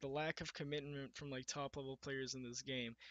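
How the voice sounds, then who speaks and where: A man is speaking. His pace is fairly quick. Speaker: gaming YouTuber. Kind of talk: casual podcast monologue. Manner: shaky, nervous delivery; halting, many fillers. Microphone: poor quality mic.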